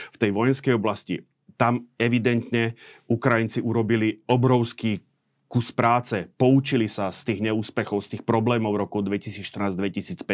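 Recorded dry and close with no echo against a very clean, silent background, a man speaks at a medium pitch and moderate pace with fairly even intonation. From Slovakia. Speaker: military analyst. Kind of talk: interview discussion. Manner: halting.

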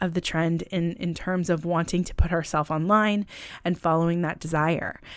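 Speaking at a moderate pace, a woman with an American accent has a medium-pitched voice and an animated tone. The recording is very clean, with a silent background. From California. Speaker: podcast host. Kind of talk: casual interview chat. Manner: animated, laughs often.

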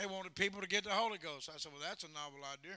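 A man speaks in a raised, projected voice that sits high. His tone is bright and sharp. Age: 50s. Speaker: traveling evangelist. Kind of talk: fiery Pentecostal revival sermon with call-and-response. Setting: church with congregation. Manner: folksy storytelling with laughter; loud, exhorting shouts urging the congregation on.

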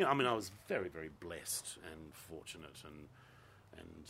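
A man with an Australian accent, bright and sharp in tone, at a moderate pace amid audible room echo. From Western Australia (Gosnells, Perth). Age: 50s. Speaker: theatre director. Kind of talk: casual chat.

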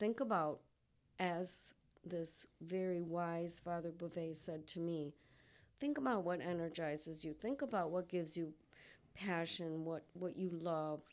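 In a very clean recording with a silent background, a woman uses a normal speaking voice with ordinary pitch variation. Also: fairly low pitch for a woman, fairly slow pace. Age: 60s. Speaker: mental health advocate sharing lived experience. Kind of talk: interview testimony.

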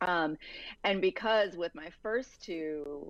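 A woman's voice with an American accent. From Virginia. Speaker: novelist. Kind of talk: interview.

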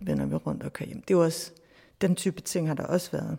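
A woman's dark, mellow tone at a fairly low pitch, with ordinary pitch variation. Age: 40s. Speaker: professor. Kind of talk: interview. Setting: outdoors in a garden.

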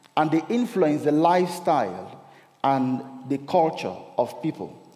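A man's fairly high-pitched voice at a very slow pace, with audible room echo and noticeable background noise. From Cameroon. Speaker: lay preacher. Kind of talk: sermon.

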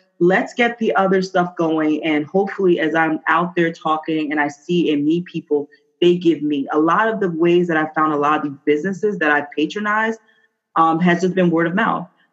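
A woman's fairly low, normal speaking voice with ordinary pitch variation. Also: moderate pace. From New Jersey. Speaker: business owner. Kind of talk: interview. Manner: casual, with many fillers.

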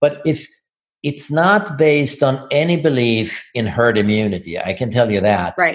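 In a Swedish accent, a man talks at a moderate pace with lively intonation. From Sweden. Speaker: physician and business owner. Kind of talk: interview. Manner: halting, repeats words.

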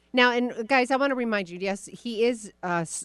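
The woman has a normal speaking voice with lively intonation. She talks at a moderate pace against a quiet background. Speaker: radio host. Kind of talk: casual interview.

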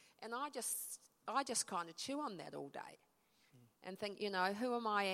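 In a New Zealand accent, a woman speaks at a medium pitch with lively intonation. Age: 60s. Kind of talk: talk in church, conversational. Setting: church with audience.

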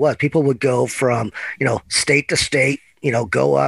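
Talking at a fairly quick pace, a man shows vocal fry at a medium pitch, in a dry, close sound with no echo. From Oregon, Eugene. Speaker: agricultural trade association director. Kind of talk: podcast interview.

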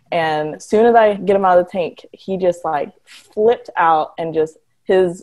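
Speaking at a fairly slow pace, a woman has a medium pitch and an ordinary speaking voice. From Detroit, Michigan. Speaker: marine biologist and sea turtle conservationist. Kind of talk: casual interview chat.

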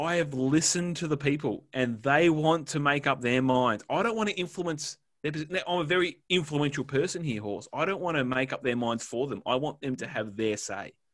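Lively intonation marks this man's voice in an Australian accent. He speaks at a fairly quick pace with a fairly high pitch. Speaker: podcast co-host. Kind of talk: casual chat. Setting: remote recording, internet issues.

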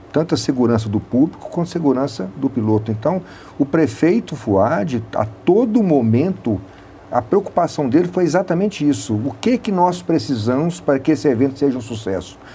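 A man talks at a moderate pace in a fairly high pitch. His pitch swings very widely. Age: 60s. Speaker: city public works official. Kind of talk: radio interview.

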